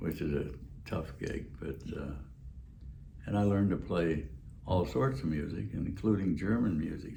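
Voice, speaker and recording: Here a man with a very deep, low pitch and vocal fry speaks at a moderate pace, his tone dark and mellow. His intonation is lively, broken by long, frequent pauses. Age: 80s+. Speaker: war veteran; drummer. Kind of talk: interview answer.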